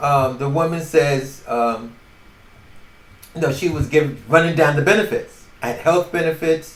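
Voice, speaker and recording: This man has a New York accent and a fairly high pitch. He speaks fairly slowly with ordinary pitch variation. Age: 70s. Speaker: podcaster. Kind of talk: casual storytelling monologue. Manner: halting.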